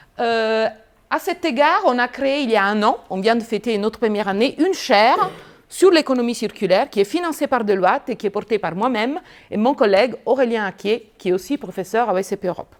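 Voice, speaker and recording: In an Italian accent, a woman speaks at a fairly quick pace. Her pitch sits fairly high, with lively intonation. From Italy. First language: Italian (speaking French). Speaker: business school professor. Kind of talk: lecture.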